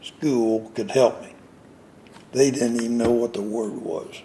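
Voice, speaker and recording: A man with a Florida accent, fairly even intonation and a fairly slow pace. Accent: Southern US (Florida). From central Florida (Avon Park). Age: 80s+. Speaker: citrus grower and nurseryman. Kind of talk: interview. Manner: halting.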